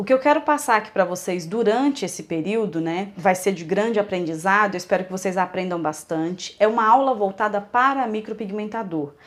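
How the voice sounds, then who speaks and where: A woman's medium-pitched voice moves at a moderate pace, showing ordinary pitch variation. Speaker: micropigmentation instructor. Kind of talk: online lecture; casual thank-you address to viewers.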